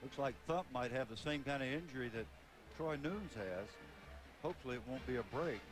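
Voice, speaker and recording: Music plays in the background as the speaker moves at a fairly quick pace with lively intonation. Long, frequent pauses break up the speech. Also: man, medium pitch for a man. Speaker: football color analyst. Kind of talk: live commentary.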